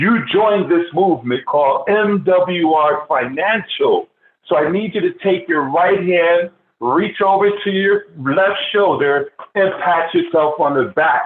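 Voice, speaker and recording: A man with a high voice speaks fairly slowly in an animated, energetic tone, with ordinary pitch variation and very even loudness. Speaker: financial business trainer, team leader. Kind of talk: motivational sales training.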